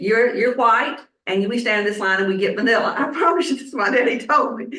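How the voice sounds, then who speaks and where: With a Southern US accent, a woman talks at a fairly quick pace in a fairly high voice with ordinary pitch variation, and audible room echo can be heard. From US South, Statesboro, Georgia. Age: 70s. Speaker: minister. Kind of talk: sermon. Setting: church congregation.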